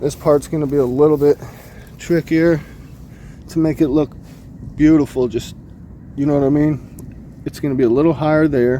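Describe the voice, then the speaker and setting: A man with a fairly high pitch speaks in a monotone with flat intonation and long, frequent pauses. Noticeable background noise runs underneath. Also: moderate pace. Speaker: pressure washing business owner and vlogger. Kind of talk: casual vlog walkthrough. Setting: outdoors at a customer's yard.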